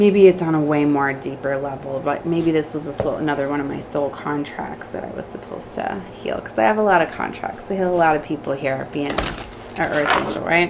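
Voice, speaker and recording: In an American accent, a woman speaks at a very deep, low pitch with ordinary pitch variation and a fairly quick pace. Audible room echo and noticeable background noise are present. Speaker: tarot reader. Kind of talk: tarot reading. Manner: fast.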